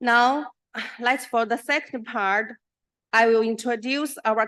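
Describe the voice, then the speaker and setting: A woman's fairly high, bright, sharp voice with a Chinese accent, at a very slow pace against a quiet background. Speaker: professor. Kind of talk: conference presentation. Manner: halting.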